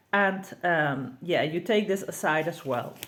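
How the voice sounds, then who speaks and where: A woman with a Dutch accent speaks at a fairly low pitch. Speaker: tarot reader and deck creator. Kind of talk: tutorial. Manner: halting.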